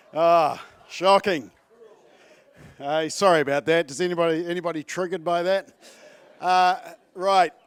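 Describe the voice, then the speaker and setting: Speaking at a moderate pace with long, frequent pauses, a man with a New Zealand accent has a high pitch. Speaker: advocacy group CEO. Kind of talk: conference speech. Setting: stage with audience.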